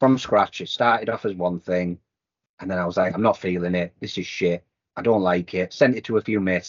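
A man talks at a fairly quick pace with a very deep, low pitch and ordinary pitch variation. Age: 40s. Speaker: music producer and label owner. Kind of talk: casual chat. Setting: online call.

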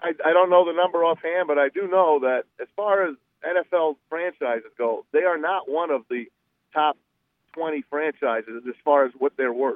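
This man has a normal speaking voice, fairly high in pitch, with ordinary pitch variation at a moderate pace. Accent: American. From New Jersey. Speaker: sports radio personality. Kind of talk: casual interview chat. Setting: phone call from a car.

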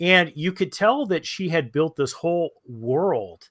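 A man with a normal speaking voice talks at a fairly slow pace with lively intonation. The recording is very clean, with a silent background. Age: 50s. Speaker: recovery coach and podcast host. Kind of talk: casual chat.

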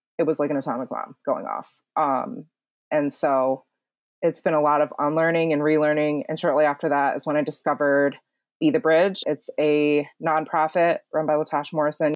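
Her pitch is very deep and low as the woman, with an American accent, speaks at a moderate pace with fairly even intonation. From upstate New York. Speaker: Korean adoptee podcast guest. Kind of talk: casual interview, personal story.

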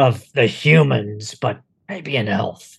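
Slowly, a man puts on a character voice of medium pitch with vocal fry, a husky, rough edge and ordinary pitch variation.

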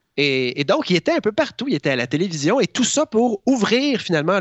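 The voice belongs to a man. Very wide swings mark his pitch. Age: 40s. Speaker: columnist. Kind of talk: radio-style chronicle.

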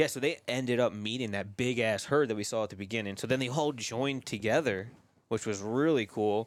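On a very clean recording with a silent background, a man uses a normal speaking voice at a medium pitch, fairly quick pace and ordinary pitch variation. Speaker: hunter. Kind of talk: casual chat. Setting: outdoors at hunting camp.

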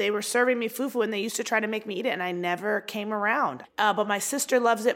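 A woman with an unremarkable speaking voice and an American accent, fairly quick pace and ordinary pitch variation, on a very clean recording with a silent background. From US, Baltimore, Maryland. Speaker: comedian. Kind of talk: casual chat.

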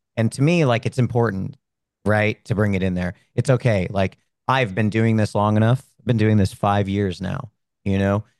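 A man with a fairly low pitch speaks in a normal speaking voice at a moderate pace. His pitch varies in an ordinary way, and the sound is dry and close with no echo. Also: quiet background. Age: 30s. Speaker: streamer and military veteran. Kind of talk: interview.

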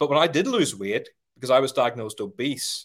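A fairly high-pitched man with vocal fry talks at a fairly quick pace, pitch swinging very widely, in a very clean recording with a silent background. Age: 40s. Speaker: sales trainer. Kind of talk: interview.

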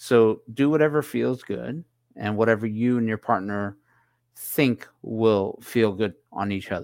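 Over a silent background in a very clean recording, a man with an ordinary speaking voice talks fairly slowly at medium pitch with ordinary pitch variation. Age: 50s. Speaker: podcast host. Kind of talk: casual chat. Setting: live stream.

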